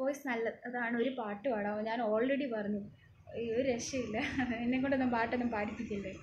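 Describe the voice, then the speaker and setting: A soft-spoken woman with a fairly high pitch and fairly even intonation. Her loudness stays very even, and there is noticeable background noise. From Kerala. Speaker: TV serial actress and nurse; TV serial actress. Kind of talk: live Q&A reading viewer comments. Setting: social media live video from home. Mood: cheerful, relaxed. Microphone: phone near.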